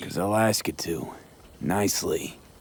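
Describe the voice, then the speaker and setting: A man puts on a raspy character voice with a fairly low pitch. He talks at a moderate pace. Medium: video game. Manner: terse, clipped.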